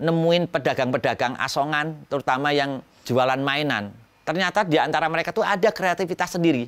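On a very clean recording with a silent background, a man with a normal speaking voice speaks at a fairly quick pace with ordinary pitch variation. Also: fairly high pitch for a man, very even loudness. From Central Java, Pekalongan. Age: 50s. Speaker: educational toy maker. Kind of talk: interview.

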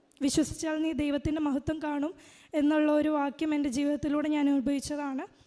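Her voice is high-pitched and dark and mellow in tone, delivered with a flat, monotone intonation. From Kerala, Idukki district. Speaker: pilgrim giving religious testimony. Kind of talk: testimony.

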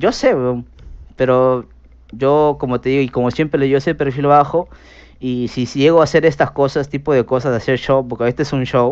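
Fairly quick speech from a man with a fairly high pitch and fairly even intonation, over a quiet background. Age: 30s. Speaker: streamer. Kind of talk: casual chat. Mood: defensive, scolding. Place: home room. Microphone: headset.

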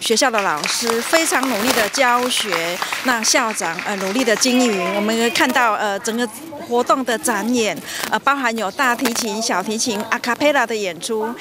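Speech moves at a moderate pace over clear background noise. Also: woman, fairly high pitch for a woman, ordinary pitch variation.

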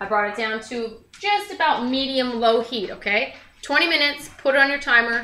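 A woman speaks at a moderate pace with a high pitch and ordinary pitch variation. Light background noise and audible room echo are present. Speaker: home cooking show host. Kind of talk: tutorial. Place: kitchen. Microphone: camera far.

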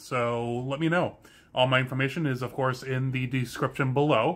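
Fairly quick delivery comes in a bright, sharp tone. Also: man. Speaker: car channel host. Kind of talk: casual vlog chat. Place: garage. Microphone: phone near.

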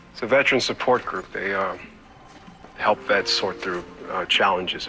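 Light background noise is heard behind a man at a fairly low pitch. He speaks at a moderate pace with ordinary pitch variation. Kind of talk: scripted phone conversation. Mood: subdued, slightly uneasy. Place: office.

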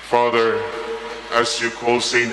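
A man's fairly slow speech with audible room echo and faint music in the background. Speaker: priest. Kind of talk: liturgical prayer and homily. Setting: church. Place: church.

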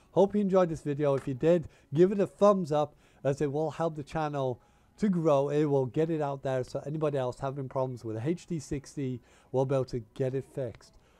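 Speaking at a fairly quick pace, a man uses fairly even intonation, his fairly high voice dark and mellow in tone.

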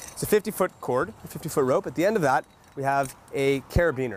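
There is light background noise as a man speaks with lively intonation. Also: dry sound with no echo. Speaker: safety equipment instructor. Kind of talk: tutorial. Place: garden.

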